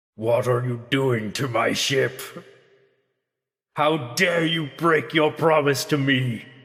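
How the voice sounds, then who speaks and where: Shouting in a put-on character voice at medium pitch, a man speaks very slowly with long, frequent pauses and a clear echo. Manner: angry, shouting.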